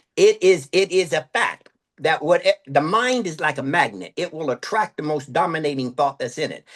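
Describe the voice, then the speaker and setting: Dry and close with no echo, a man with a plain, everyday voice speaks at a moderate pace. His pitch is fairly high and his intonation lively. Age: 60s. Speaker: motivational speaker and sales trainer. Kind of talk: podcast interview.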